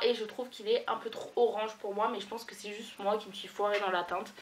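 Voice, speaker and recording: A woman's voice with noticeable background noise. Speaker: beauty vlogger. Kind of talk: casual vlog tutorial. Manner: animated.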